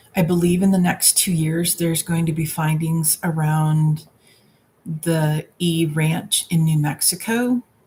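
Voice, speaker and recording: A woman's somewhat breathy voice has a dark, mellow tone and very even loudness. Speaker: tarot reader. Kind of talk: live stream Q&A. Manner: slow; halting.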